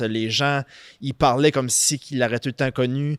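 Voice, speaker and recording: A man's ordinary speaking voice at medium pitch, fairly even in intonation, with a dry, close sound and no echo. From southeastern New Brunswick, Canada (Saint-Antoine, Acadian area). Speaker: financial services business owner. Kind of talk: casual podcast interview. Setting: studio.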